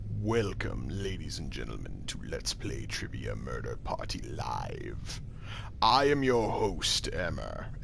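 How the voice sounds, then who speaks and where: Over loud background noise, a man speaks at a fairly slow pace in a put-on character voice. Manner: theatrical announcer, over the top.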